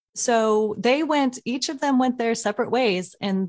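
In an ordinary speaking voice, a woman with an American accent speaks at a moderate pace and fairly high pitch. Her intonation is fairly even, and the recording is very clean with a silent background. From Oklahoma. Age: 40s. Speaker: tech entrepreneur. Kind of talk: interview.

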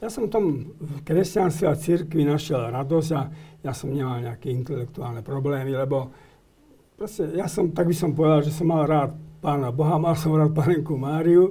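At a moderate pace, a man talks with a fairly high, dark and mellow voice. His pitch varies in an ordinary way. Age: 70s. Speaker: guest commentator on church affairs. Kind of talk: interview. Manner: halting.

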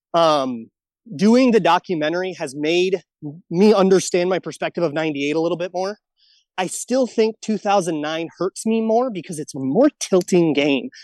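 In a dry, close recording with no echo and a quiet background, a high-pitched man speaks at a moderate pace with lively intonation. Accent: American. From Minnesota. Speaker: sports podcast host. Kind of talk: interview.

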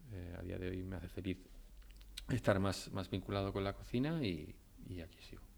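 At a moderate pace broken by long, frequent pauses, a man speaks with a very deep, low pitch, vocal fry and ordinary pitch variation. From Spain, Almería. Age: 30s. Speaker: chef. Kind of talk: interview.

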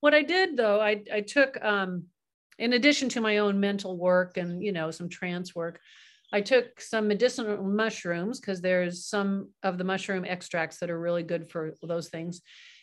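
In an American accent, the speaker has a plain, everyday voice with ordinary pitch variation. The pace is moderate, over a quiet background. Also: woman, medium pitch for a woman. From California. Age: 60s. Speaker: hypnotherapist. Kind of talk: casual chat.

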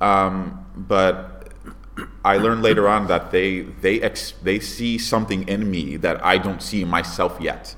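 A man with an American accent and a fairly low voice with vocal fry speaks fairly slowly and with fairly even intonation. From Connecticut, Bridgeport. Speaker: stage actor. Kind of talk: interview. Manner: halting, many repetitions and fillers.

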